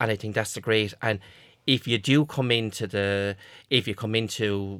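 Over a very clean recording with a silent background, a man with an Irish accent speaks at a moderate pace, his fairly low voice bright and sharp in tone. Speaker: college graduate, former mature student. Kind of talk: casual chat.

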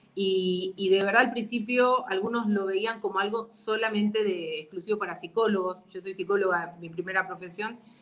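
At medium pitch and a moderate pace, a woman talks with hardly any pauses, fairly even intonation and big swings in loudness over noticeable background noise. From Argentina. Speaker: psychologist and NLP coach. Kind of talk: online interview.

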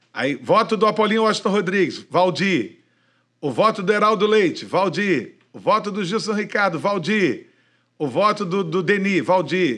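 A man with a Rio de Janeiro accent speaks at a moderate pace in a high pitch, with ordinary pitch variation. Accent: carioca. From Niterói, Rio de Janeiro. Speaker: veteran radio broadcaster. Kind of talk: casual chat. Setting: studio.

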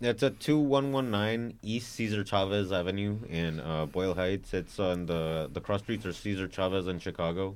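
A man has a plain, everyday voice with fairly low pitch. He talks at a moderate pace with hardly any pauses. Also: ordinary pitch variation. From California Central Valley (Fresno area), born in Mexico. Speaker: VHS tape dealer. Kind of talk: casual chat.

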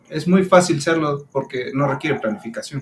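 This man has a fairly high pitch, and noticeable background noise runs under his speech. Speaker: podcast co-host. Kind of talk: casual chat.

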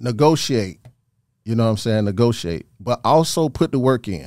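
With an American accent, a man speaks at a fairly quick pace in a dark, mellow tone of medium pitch, on a very clean recording with a silent background. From Georgia, US South (Thomaston, Upson County). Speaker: DJ and radio mixer. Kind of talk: casual chat.

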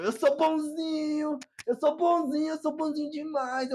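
A woman puts on a character voice. It is high-pitched and whiny. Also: moderate pace. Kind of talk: comic, exaggerated. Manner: whiny, mocking.

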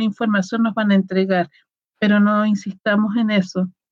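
This woman's pitch sits fairly high. Her voice is somewhat breathy. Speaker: tarot reader and shamanic practitioner. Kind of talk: casual chat. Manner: simple plain speech.

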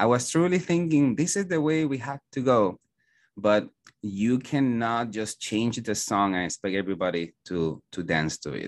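Here a man speaks with a Puerto Rican accent. His pace is moderate and his pitch swings very widely. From Puerto Rico. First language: Spanish. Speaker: school principal. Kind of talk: interview conversation. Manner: hesitant, many fillers.

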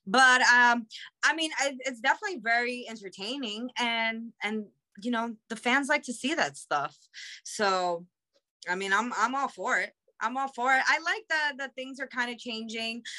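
Her voice is high-pitched with a bright, sharp tone, ordinary pitch variation and a moderate pace. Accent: New York. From Queens, New York. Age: 30s. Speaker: professional wrestler. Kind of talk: casual chat.

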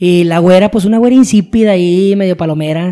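A man's high-pitched, dark, mellow voice at a fairly quick pace with ordinary pitch variation. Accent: Mexican. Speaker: podcast co-host. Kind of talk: casual chat.

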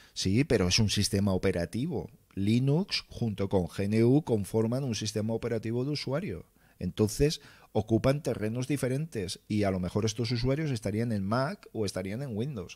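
On a very clean recording with a silent background, a man speaks at a moderate pace and medium pitch, with a dark, mellow tone and ordinary pitch variation. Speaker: livestream host, tech content creator. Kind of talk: casual livestream chat reading viewer comments. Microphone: close mic, near clipping.

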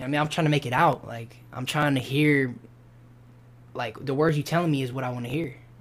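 With an American accent, an unremarkable speaking voice keeps fairly even intonation at a fairly quick pace. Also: man, fairly high pitch for a man. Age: 20s. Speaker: rapper. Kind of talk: casual interview. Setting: studio.

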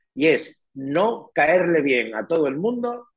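A man with a fairly high pitch speaks at a very slow pace with vocal fry. His pitch swings very widely. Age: 50s. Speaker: real estate manager and writer. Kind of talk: interview.

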